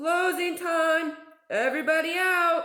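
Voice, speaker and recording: An extremely high-pitched, put-on character voice moves at a fairly slow pace. Audible echo follows each line. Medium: read story.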